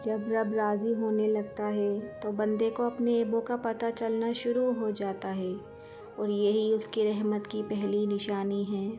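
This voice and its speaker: A woman speaks in a fairly high pitch with monotone, flat intonation while music plays in the background. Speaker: poetry and quotes narrator. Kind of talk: Islamic quotes and poetry reading.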